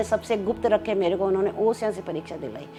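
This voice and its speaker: Music in the background behind a woman's voice at a moderate pace. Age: 70s. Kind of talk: interview answer.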